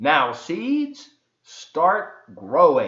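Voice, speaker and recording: A man's put-on character voice, high-pitched. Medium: read story. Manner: earnest, fretful.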